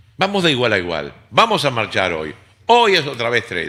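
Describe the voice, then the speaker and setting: Speaking in a Rioplatense accent, a man uses very wide pitch swings, vocal fry and a bright, sharp, animated tone at a moderate pace. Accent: Argentine Rioplatense Spanish. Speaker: radio host. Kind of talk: casual chat.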